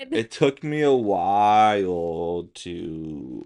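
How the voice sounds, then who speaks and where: Here a man speaks with an American accent. His very deep, low pitch swings very widely. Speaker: podcast co-host. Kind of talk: casual chat.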